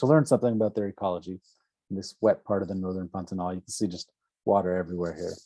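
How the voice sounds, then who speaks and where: Very deep and low in pitch, a man's dark, mellow voice rushes at a very fast pace with big swings in loudness, captured in a very clean, dry, close recording with no echo and a silent background. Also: ordinary pitch variation. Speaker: ecology professor and researcher. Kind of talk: lecture.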